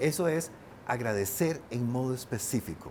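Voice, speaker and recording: A man talks with ordinary pitch variation. His voice sits at a medium pitch. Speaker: painter and writer. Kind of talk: interview conversation. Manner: fast.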